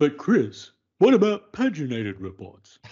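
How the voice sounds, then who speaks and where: A man puts on a cartoonish character voice at a fairly high pitch. His pitch swings very widely, and his pace is moderate. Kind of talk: cartoonish, exaggerated.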